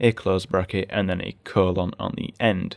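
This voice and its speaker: Speaking with a British accent, a man has a very deep, low pitch and fairly even intonation. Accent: British (UK English). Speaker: programming tutorial host. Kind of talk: screen-recorded coding tutorial. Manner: casual, explanatory.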